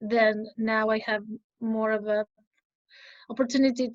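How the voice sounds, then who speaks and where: The speaker has a Spanish accent and a moderate pace. The intonation is monotone and flat. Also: woman. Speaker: English exam candidate. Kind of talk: interview.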